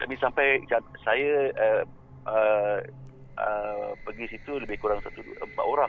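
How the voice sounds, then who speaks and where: A Malaysian accent at a fairly slow pace with long, frequent pauses, music in the background. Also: man. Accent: Malaysian Malay. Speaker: paranormal YouTuber. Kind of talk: casual interview chat.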